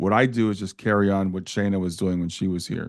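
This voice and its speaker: Fairly low-pitched male speech at a fairly quick pace over a quiet background. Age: 60s. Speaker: grieving parent and afterlife blogger. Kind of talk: interview. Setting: podcast recording. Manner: halting.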